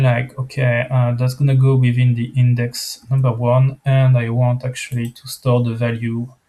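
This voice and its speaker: In a non-native accent, a man speaks in a somewhat breathy voice with monotone, flat intonation. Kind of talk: software screencast walkthrough. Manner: casual, hesitant, many fillers.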